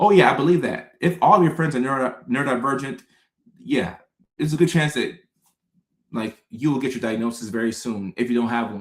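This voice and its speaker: The pace runs fairly quick. The voice carries an American accent. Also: man. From Texas. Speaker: psychologist and live-stream host. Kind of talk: live stream chat reading viewer comments. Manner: fast-talking; casual, slangy.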